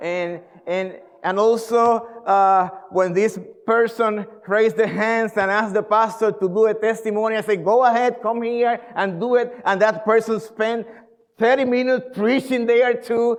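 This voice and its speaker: This man speaks with a Spanish accent. His voice is high in pitch, with fairly even intonation. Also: moderate pace. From Puerto Rico. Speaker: pastor. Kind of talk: sermon. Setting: church. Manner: halting.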